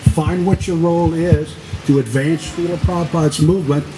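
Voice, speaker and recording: The speech moves at a moderate pace with ordinary pitch variation. Noticeable background noise is audible. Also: man. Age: 70s. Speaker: devotee sharing memories. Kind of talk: testimony. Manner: halting.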